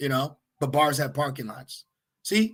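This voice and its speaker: Loud and animated, a man speaks at a fairly high pitch in a bright, sharp tone with very wide pitch swings. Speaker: religious teacher. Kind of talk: sermon.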